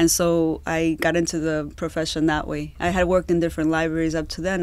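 This woman's voice sits fairly low in pitch. She talks at a fairly quick pace with monotone, flat intonation. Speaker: podcast guest. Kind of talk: interview answer. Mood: warm, light laughter. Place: booth. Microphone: studio mic.

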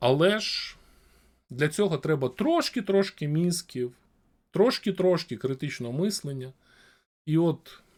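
Over a very clean recording with a silent background, a man speaks with fairly high pitch and lively intonation. He goes at a very slow pace, with long, frequent pauses. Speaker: streamer talking to random people in video chat. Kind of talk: casual debate with strangers; reading news aloud.

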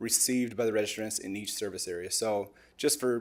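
Fairly quick and with fairly even intonation, a man speaks in a very clean recording with a silent background. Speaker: parks department staff presenter. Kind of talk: public meeting presentation. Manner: fast.

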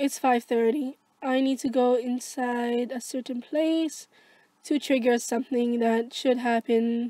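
A woman speaks at a very slow pace in a high pitch with a dark, mellow tone. Her intonation is monotone and flat, and the sound is dry and close with no echo. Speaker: gaming YouTuber. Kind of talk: let's play commentary. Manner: halting.

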